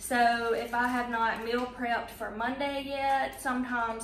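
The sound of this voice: In a room with audible echo, a woman speaks at a fairly slow pace, her fairly high pitch held in fairly even intonation.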